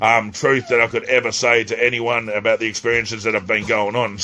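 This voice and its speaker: Noticeable background noise sits behind a man with an Australian accent. His medium-pitched voice moves at a fairly quick pace in a flat monotone. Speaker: spiritual teacher, self-described psychic.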